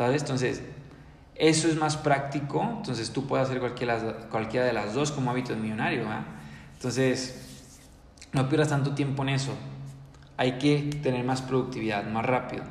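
In a room with audible echo, a man with a medium-pitched voice and an energetic tone talks at a moderate pace, leaving long, frequent pauses. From Mexico, Ciudad Victoria, Tamaulipas. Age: 20s. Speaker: entrepreneurship podcaster. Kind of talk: motivational monologue. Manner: energetic, halting with repetitions.

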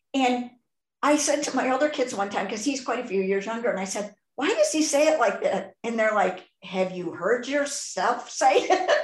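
Her pitch high, a woman speaks in an animated tone with lively intonation. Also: moderate pace. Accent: Chicago. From US Midwest, Chicago southwest side. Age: 60s. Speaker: podcast host. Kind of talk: casual interview chat.

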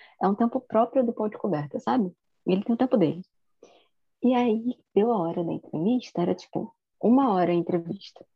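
A woman speaks with a fairly high, somewhat breathy voice and lively intonation. She leaves long, frequent pauses. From Rio de Janeiro, Campo Grande (West Zone). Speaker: language teacher, podcast co-host. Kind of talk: casual chat.

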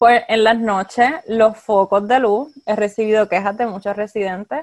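Fairly slow and fairly high in pitch, a woman speaks in an unremarkable speaking voice with ordinary pitch variation and a dry, close sound with no echo. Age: 20s. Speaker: clinical social worker. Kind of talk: interview.

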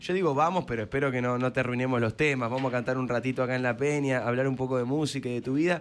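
A man with a Rioplatense accent talks at a very fast pace with hardly any pauses. His pitch is medium and his loudness very even. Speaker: radio host. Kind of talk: casual interview. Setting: radio studio. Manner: animated.

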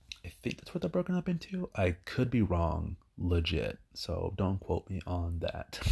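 Fairly slow speech with big swings in loudness and hardly any pauses, on a very clean recording with a silent background. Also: man. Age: 30s. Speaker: podcaster. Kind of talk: solo monologue. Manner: rambling, hesitant with many fillers.

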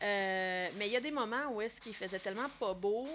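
A woman uses a normal speaking voice at a medium pitch. Her pace is moderate and her pitch variation ordinary. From Quebec, Laurentides. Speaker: film director. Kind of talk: casual interview.

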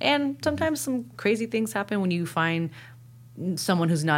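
Here is a woman with an unremarkable speaking voice and lively intonation, going at a fairly quick pace. The recording is very clean with a silent background. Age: 30s. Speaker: mixed martial artist. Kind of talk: casual chat. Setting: studio.

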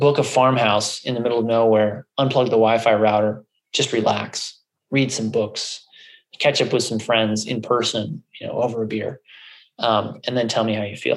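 A man's medium-pitched, monotone, flat delivery at a moderate pace. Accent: American. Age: 30s. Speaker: functional medicine doctor. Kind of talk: interview conversation.

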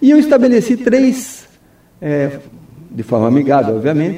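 A man's tone is dark and mellow, his speed fairly slow. Very wide swings mark his pitch. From Brazil, Foz do Iguaçu (Paraná). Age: 50s. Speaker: mayoral candidate, lawyer. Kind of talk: radio interview. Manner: hesitant, many fillers.

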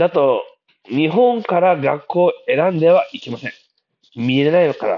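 This man has a high pitch and lively intonation, speaking at a moderate pace. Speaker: podcast host. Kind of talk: casual monologue. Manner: hesitant, many fillers.

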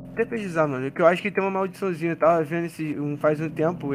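Speaking at a very fast pace with fairly even intonation, the voice comes through over a quiet background. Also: man. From Rio de Janeiro, Brazil. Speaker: basketball content creator. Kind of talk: casual chat.

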